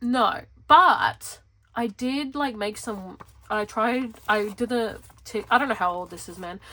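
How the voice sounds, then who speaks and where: This woman has an Australian accent and a fairly high pitch. Her tone is bright and sharp, and her pitch varies an ordinary amount. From Western Australia (Perth). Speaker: planner vlogger. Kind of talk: casual chat. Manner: rambling, animated.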